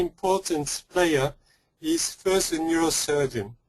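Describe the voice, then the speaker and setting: A man with a French accent speaks at a fairly slow pace in a high-pitched voice. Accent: French accent, noticeable. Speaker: pediatric neuro-oncologist. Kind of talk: lecture. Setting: webinar.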